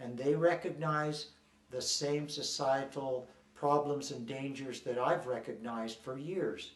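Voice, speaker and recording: Over noticeable background noise and audible room echo, a man speaks at a medium pitch, fairly slowly, with fairly even intonation. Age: 60s. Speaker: ex-member activist interviewee. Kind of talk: documentary interview. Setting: on location in Dublin. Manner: halting, with repeated words and fillers.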